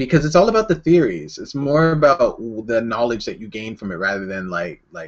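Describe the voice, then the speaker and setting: A man with a Canadian accent speaks at a fairly quick pace in a medium pitch. His voice shows very wide pitch swings and big swings in loudness. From Canada. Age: 20s. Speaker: artist livestreamer. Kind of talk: casual livestream Q&A. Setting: livestream video chat at home. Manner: hyperactive, energetic.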